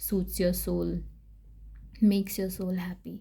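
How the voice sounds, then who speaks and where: A woman's somewhat breathy, dark and mellow voice at a medium pitch and fairly slow pace, on a very clean recording with a silent background. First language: not English. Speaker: tarot reader. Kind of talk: tarot reading. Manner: casual, hesitant with fillers.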